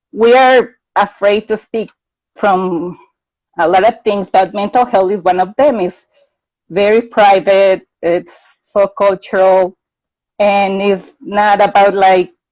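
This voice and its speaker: Here a woman talks in a Mexican accent at a medium pitch. Her pace is fairly slow. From Mexico. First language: Spanish. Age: 30s. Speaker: mental health advocate. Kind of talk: interview.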